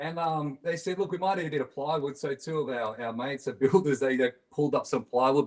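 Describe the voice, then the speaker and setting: This man talks fairly quickly. He has an Australian accent. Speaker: band musician. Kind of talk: casual chat.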